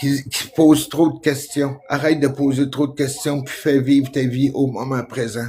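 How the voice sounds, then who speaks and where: With a Quebec accent, a man talks at a fairly slow pace in a fairly high voice, with hardly any pauses. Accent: Québécois French. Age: 60s. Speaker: vlogger. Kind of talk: casual monologue. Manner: animated; halting.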